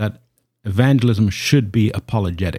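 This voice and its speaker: Talking at a fairly quick pace, a man has a dark, mellow tone that is somewhat breathy. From Canada. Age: 50s. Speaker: evangelist and apologist. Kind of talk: casual interview. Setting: home office studio.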